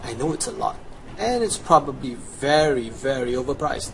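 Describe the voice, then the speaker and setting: Here a man speaks with a Chinese accent and lively intonation. His pitch is fairly high, and his pace is moderate. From China. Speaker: video game guide presenter. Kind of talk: gameplay tutorial.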